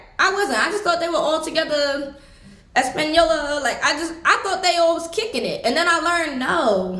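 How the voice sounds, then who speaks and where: A woman with an extremely high pitch uses a raised, projected voice and lively intonation. She keeps a moderate pace, and audible room echo surrounds her. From United States. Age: 20s. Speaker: travel vlogger. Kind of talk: casual chat. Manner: conversational, with many fillers.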